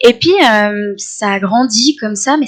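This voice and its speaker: Fairly high pitch and ordinary pitch variation in a woman's speech. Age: 20s. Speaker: environmental science student. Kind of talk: podcast interview. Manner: hesitant, many fillers.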